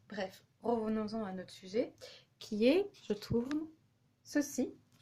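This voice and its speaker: This woman's voice sits at a fairly high pitch and sounds somewhat breathy. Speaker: vlogger. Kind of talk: casual vlog monologue while cooking. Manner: hesitant, many fillers.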